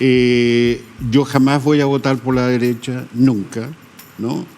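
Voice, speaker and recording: A man talks very slowly at a medium pitch. His intonation is monotone and flat. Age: 80s+. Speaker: photographer. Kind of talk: interview. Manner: hesitant.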